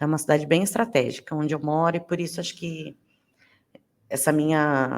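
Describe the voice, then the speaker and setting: The recording is very clean, with a silent background. A woman speaks at a very deep, low pitch with fairly even intonation. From Brazil, interior of São Paulo state (Rio Claro). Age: 30s. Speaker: podcast host. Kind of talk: podcast monologue, casual.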